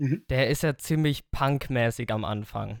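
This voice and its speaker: In a very clean recording with a silent background, a man with a plain, everyday voice talks fairly slowly at a fairly high pitch with ordinary pitch variation. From Germany, Lower Franconia near Aschaffenburg. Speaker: metal drummer and songwriter. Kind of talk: podcast interview.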